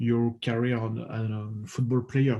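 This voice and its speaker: A man with a French accent speaks fairly slowly at a medium pitch, his dark, mellow tone somewhat breathy and his intonation monotone and flat. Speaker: podcast host and coach. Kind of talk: interview. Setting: podcast. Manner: halting.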